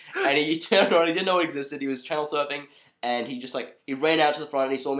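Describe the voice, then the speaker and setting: At a very fast pace, a man with an Australian accent talks in a fairly high pitch. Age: 20s. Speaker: comedy podcast co-host. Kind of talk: casual chat.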